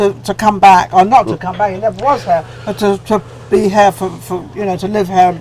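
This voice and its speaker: With lively intonation, a woman speaks at a moderate pace and medium pitch over noticeable background noise. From England. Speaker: talk show host. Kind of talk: casual interview chat. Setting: lounge, on-location interview.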